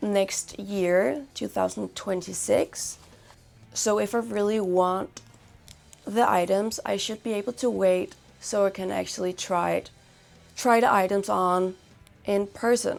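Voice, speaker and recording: Music plays in the background as a woman mumbles at a medium pitch. Her pitch varies in an ordinary way, and she leaves long, frequent pauses. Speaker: fashion and lifestyle vlogger, band member. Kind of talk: casual vlog, gift guide. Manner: rambling, casual, some mumbling.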